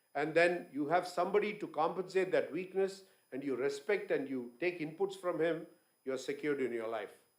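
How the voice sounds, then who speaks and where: A man speaks at a fairly quick pace with a high pitch and ordinary pitch variation. Audible room echo surrounds his voice. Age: 60s. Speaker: business owner, guest speaker. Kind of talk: conference talk.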